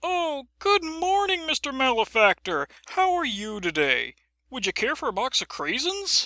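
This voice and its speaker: A woman puts on a character voice, high in pitch with very wide swings. The sound is dry and close, with no echo. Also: moderate pace. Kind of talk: 1940s educational-film parody. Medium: comedy sketch. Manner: bright, overly polite.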